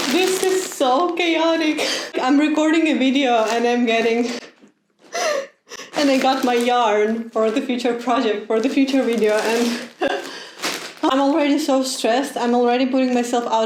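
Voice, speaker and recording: A woman with a high pitch and a Ukrainian accent speaks at a moderate pace with ordinary pitch variation, with noticeable background noise and audible room echo. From Ukraine. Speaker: knitting content creator. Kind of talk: casual vlog. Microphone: laptop mic.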